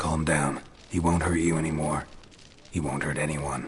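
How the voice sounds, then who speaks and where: A man uses a raspy put-on character voice with a very deep, low pitch and monotone, flat intonation. He talks at a moderate pace over clear background noise. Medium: video game. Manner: terse, dry.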